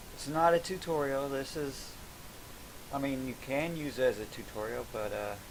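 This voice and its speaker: With audible room echo, a man talks at a moderate pace in a fairly high voice with ordinary pitch variation. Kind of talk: casual crafting video narration. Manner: soft-spoken; halting.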